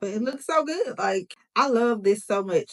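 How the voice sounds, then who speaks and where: Lively in intonation, a woman speaks in an animated tone. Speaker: beauty YouTuber. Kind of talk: tutorial.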